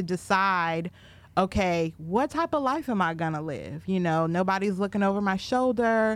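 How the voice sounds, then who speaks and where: In an unremarkable speaking voice, a woman with an American accent talks at a moderate pace and medium pitch, her intonation lively, on a very clean recording with a silent background. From Minnesota, Minneapolis area. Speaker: podcast co-host. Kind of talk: casual chat.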